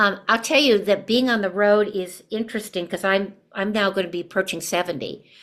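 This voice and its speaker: Here a woman speaks at a medium pitch with ordinary pitch variation. Her pace is moderate. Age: 60s. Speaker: stage actress and theatre teacher. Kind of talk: casual podcast conversation. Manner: halting, many fillers.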